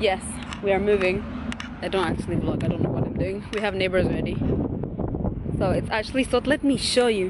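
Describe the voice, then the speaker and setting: A woman's voice in a dry sound with no echo, under loud background noise. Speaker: vlogger. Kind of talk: casual vlog chat. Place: street. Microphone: phone near.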